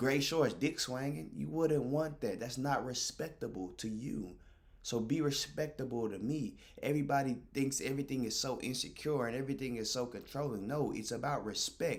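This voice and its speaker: An animated man with ordinary pitch variation, amid audible room echo. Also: medium pitch for a man, moderate pace. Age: 20s. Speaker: streamer. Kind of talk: casual monologue to stream chat.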